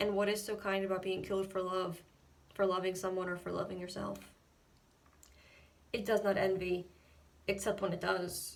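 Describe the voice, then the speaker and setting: At a moderate pace, a woman speaks in a medium pitch with monotone, flat intonation and long, frequent pauses. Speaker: poet reading own poem. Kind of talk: slam poetry reading.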